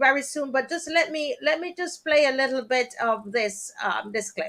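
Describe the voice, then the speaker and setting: In a Jamaican accent, a woman projects a raised, high-pitched voice with a bright, sharp tone at a moderate pace. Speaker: talk show host. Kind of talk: live stream talk show. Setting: live stream.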